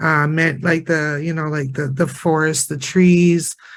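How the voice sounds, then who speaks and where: A man with a Prairie accent and a fairly high pitch. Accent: Canadian English, Prairie. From northern Alberta, Canada. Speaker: Métis community member and heritage interpreter. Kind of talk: panel discussion sharing circle. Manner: hesitant, many fillers and repetitions.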